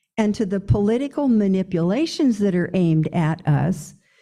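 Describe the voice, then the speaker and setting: At a fairly slow pace, a woman speaks in a somewhat breathy, dark, mellow voice of medium pitch with very wide pitch swings. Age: 80s+. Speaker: pastor. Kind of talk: sermon.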